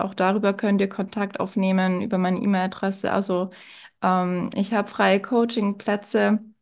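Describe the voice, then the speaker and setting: A woman talks at a moderate pace. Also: quiet background. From Bavaria, near Munich. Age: 20s. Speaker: health manager and fitness coach. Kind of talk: casual interview chat.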